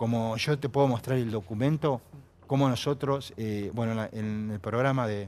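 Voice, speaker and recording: Speaking at moderate speed, the man has a medium pitch and ordinary pitch variation. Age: 60s. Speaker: war veteran. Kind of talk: TV panel interview. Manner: halting, many fillers.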